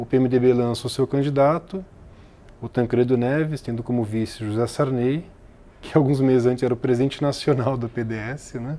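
A man's dark, mellow voice at a moderate pace with ordinary pitch variation. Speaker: political science professor and author. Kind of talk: interview about his book.

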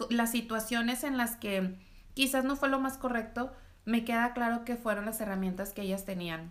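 A woman talks at a moderate pace in a fairly high voice with ordinary pitch variation. It is an unremarkable speaking voice. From Mexico, Reynosa, Tamaulipas. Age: 30s. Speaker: entrepreneur. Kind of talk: interview.

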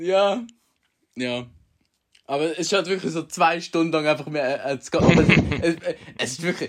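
A man's high voice with an animated tone and ordinary pitch variation, at a fairly slow pace with long, frequent pauses. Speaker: podcast host. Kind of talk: casual chat.

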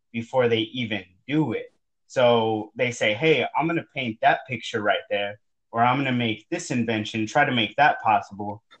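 A man with an American accent talks at a moderate pace and a medium pitch. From Texas, San Antonio West Side. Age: 20s. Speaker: accountant and entrepreneur. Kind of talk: casual interview. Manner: animated.

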